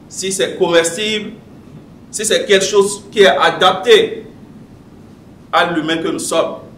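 Very slow speech with long, frequent pauses and ordinary pitch variation, light background noise and audible room echo. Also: man, high pitch for a man. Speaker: public speaking club member; speaker. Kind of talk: prepared speech. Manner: read from notes. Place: meeting room. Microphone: podium.

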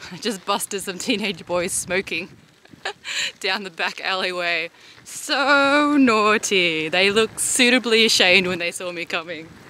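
Over light background noise, a woman speaks at a fairly slow pace with lively intonation and a bright, sharp tone, the sound dry with no echo. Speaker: vlogger. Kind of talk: casual vlog chat. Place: bicycle. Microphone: phone near.

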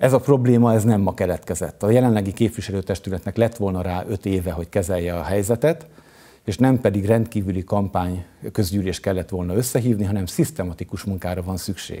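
A dark, mellow tone at a very fast pace, with ordinary pitch variation. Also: man, fairly low pitch for a man. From Hungary, Eger. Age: 50s. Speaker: mayoral candidate. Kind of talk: campaign speech. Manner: formal.

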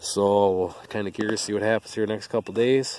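Here a man talks at a moderate pace. His fairly low voice has a dry sound with no echo. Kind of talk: casual vlog chat. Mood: relaxed, matter-of-fact. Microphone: phone near.

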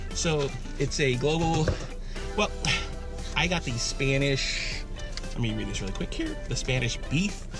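Over clear music in the background, a man speaks at a moderate pace with a dry sound and no echo. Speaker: food reviewer. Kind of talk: casual vlog chat. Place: car. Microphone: phone near.

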